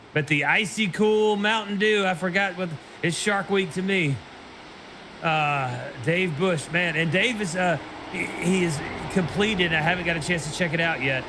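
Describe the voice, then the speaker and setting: An animated speaker in a Southern accent holds very even loudness with ordinary pitch variation, over noticeable background noise and audible room echo. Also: man, high pitch for a man, moderate pace. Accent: Southern, denies it is thick. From Tennessee, Nashville. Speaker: sim racing commentator. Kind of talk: live commentary.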